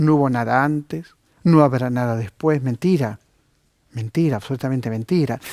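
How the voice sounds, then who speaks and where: A man's dark, mellow voice moves at a moderate pace with ordinary pitch variation, its sound dry and close with no echo, on a very clean recording with a silent background. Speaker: TV host, book reviewer. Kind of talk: TV book recommendations.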